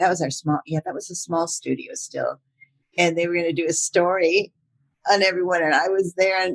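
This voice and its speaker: With a dry, close sound and no echo, a woman speaks at a fairly quick pace in an unremarkable speaking voice of medium pitch. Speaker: voice actor. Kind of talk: interview answer. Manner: casual, chatty.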